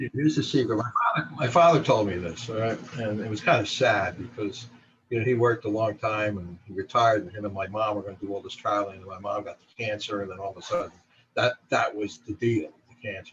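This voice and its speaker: A man with a fairly low pitch speaks at a very fast pace. His loudness swings widely. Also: ordinary pitch variation. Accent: New Jersey. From New Jersey. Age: 60s. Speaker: photographer. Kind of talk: interview.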